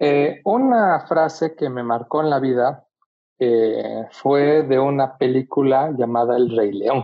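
Speaking very slowly, a man uses a medium pitch. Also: ordinary pitch variation. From Bolivia. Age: young. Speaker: photographer. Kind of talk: casual chat.

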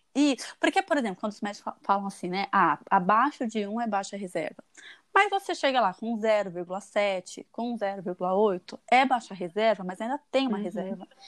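Recorded with a dry, close sound and no echo, a woman talks in a normal speaking voice with ordinary pitch variation at a moderate pace. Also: medium pitch for a woman. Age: 30s. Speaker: fertility patient sharing her story. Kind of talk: casual interview.

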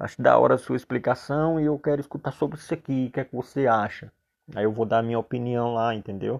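A man at medium pitch and a fairly quick pace, with ordinary pitch variation, over a quiet background. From Paraíba, Brazilian Northeast. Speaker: barber and barbering coach. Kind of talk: solo monologue podcast. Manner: halting, many fillers; serious, not very animated.

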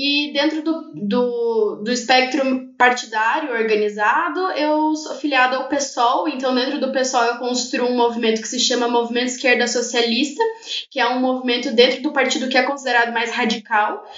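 The room echo is audible. Delivery moves at a moderate pace with ordinary pitch variation. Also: woman, high pitch for a woman. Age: 20s. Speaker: activist and poet. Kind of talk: casual interview chat.

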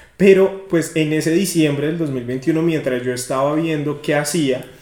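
A man at fairly high pitch speaks with fairly even intonation amid noticeable background noise and audible room echo. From Colombia, rural Cundinamarca (Guachetá). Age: 20s. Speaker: podcast guest, young professional. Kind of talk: casual chat.

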